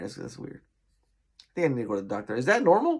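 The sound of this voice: Put-on character voice from a man, hoarse and medium in pitch, delivered at a very fast pace.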